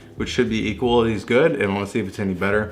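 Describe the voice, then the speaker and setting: A man's fairly low-pitched voice comes with audible room echo. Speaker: car vlogger. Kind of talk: casual vlog.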